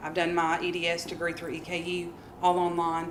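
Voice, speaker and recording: A woman speaks with noticeable background noise. There is audible room echo. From Kentucky. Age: 30s. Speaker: middle school math teacher. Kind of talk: workshop presentation. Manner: halting, many fillers.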